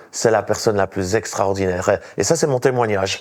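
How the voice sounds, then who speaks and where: A man with a Swiss accent speaks with ordinary pitch variation. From Switzerland. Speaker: evangelist and pastor. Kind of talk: testimony.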